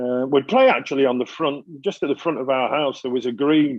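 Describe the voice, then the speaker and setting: Speaking with a Mancunian accent, a man keeps a fairly high pitch and fairly even intonation. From Manchester, northern England. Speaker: interview guest. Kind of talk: podcast interview. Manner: hesitant, many fillers and repeats.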